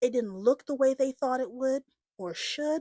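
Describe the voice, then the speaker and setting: Lively intonation marks a woman's dark, mellow tone, heard in a dry, close sound with no echo. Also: very clean recording, silent background. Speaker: podcast host on AI and careers. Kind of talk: personal podcast introduction. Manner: animated, casual.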